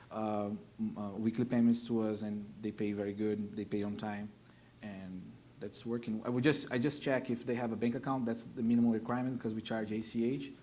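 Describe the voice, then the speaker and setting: In a Brazilian Portuguese accent, the voice moves at a fairly quick pace with a dark, mellow tone and monotone, flat intonation. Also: man, medium pitch for a man. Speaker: car dealer. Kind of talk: panel discussion.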